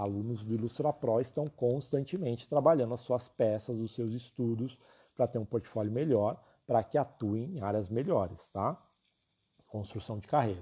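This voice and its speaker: At a moderate pace, a man speaks at a medium pitch in a dark, mellow, somewhat breathy tone with ordinary pitch variation. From São Paulo city, Brazil. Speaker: illustration teacher. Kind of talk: live stream class and sales talk. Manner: talkative, informal.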